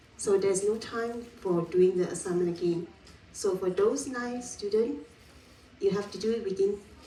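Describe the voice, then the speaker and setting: With audible room echo and noticeable background noise, a woman speaks at a fairly slow pace with ordinary pitch variation. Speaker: university lecturer. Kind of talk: lecture. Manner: loud.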